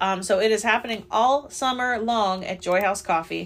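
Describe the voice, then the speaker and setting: A woman with an unremarkable speaking voice, moderate pace and ordinary pitch variation. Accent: American. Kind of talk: casual chat.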